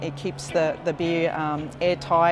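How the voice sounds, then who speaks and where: Clear music sits in the background as a woman with a very deep, low pitch speaks. The sound is dry, with no echo. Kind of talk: interview answer. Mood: friendly, smiling. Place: factory.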